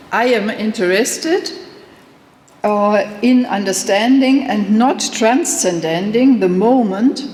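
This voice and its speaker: A woman with a German accent speaks very slowly in a fairly high pitch, her intonation lively, with audible room echo and noticeable background noise. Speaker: professor. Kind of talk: lecture. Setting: conference hall with audience. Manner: reading a prepared text, some hesitations.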